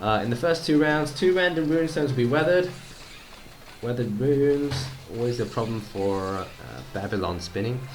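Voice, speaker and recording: A man with a medium pitch talks at a fairly quick pace with lively intonation and long, frequent pauses, amid noticeable background noise and audible room echo. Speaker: gaming youtuber. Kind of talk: gameplay commentary. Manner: halting, many fillers; casual.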